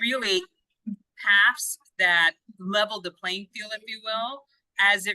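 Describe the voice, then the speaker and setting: At a moderate pace, a woman with a non-native accent talks in a bright, sharp tone with ordinary pitch variation, the sound dry and close with no echo. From outside the US. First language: not English. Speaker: education consultant. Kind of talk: interview.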